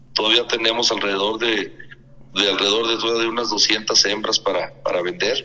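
Over noticeable background noise, a man talks at a moderate pace and a medium pitch with fairly even intonation. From Mexico, Durango. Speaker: gamecock breeder. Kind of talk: interview.

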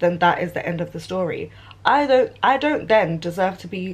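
The speaker moves at a fairly quick pace, somewhat breathy, with lively intonation. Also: woman. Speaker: vlogger. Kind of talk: casual vlog rant. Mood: irritated, indignant. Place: home room. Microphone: phone near.

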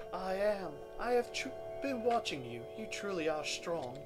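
Loud music plays in the background as someone does a put-on character voice at a middle pitch. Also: moderate pace. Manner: hammy, theatrical.

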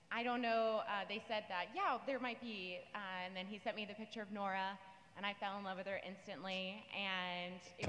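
A bright, sharp tone carries fairly even intonation at a moderate pace. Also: woman. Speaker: voice actor panelist. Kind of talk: panel interview answer. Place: stage. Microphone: handheld.

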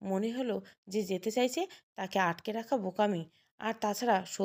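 Against a quiet background, the plain reading aloud carries ordinary pitch variation.

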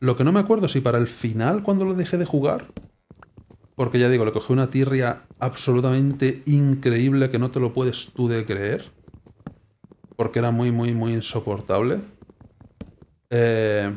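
A man talks at a moderate pace with ordinary pitch variation. He leaves long, frequent pauses. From Spain. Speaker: gaming YouTuber. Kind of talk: gameplay commentary. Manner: casual, hesitant.

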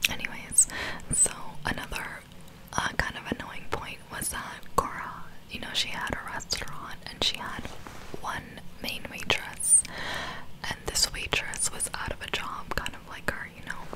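A woman talks at a fairly slow pace, with long, frequent pauses. Loud background noise sits behind her. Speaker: vlogger. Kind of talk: casual storytime vlog chat. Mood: amused, slightly annoyed. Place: home room. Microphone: studio mic.

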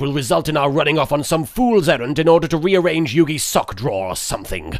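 A man speaks with a fairly high pitch. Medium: fan dub. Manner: sarcastic, weary, irritable.

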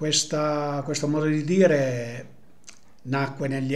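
Speaking very slowly, a man uses a fairly high pitch and a monotone, flat intonation. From Apulia, Italy. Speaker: storyteller of local sayings. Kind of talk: folk tradition storytelling. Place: home room. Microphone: webcam.

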